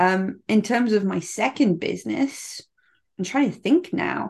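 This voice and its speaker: Over a quiet background, a woman speaks with vocal fry. Her intonation is lively. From South Africa, then UK. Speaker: marketing automation expert and author. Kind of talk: interview conversation.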